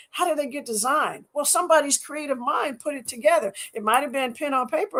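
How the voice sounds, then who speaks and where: The speaker is a woman with a high pitch. She talks at a fairly quick pace. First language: French. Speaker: scientist and athlete. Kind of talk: interview. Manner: halting, many repetitions.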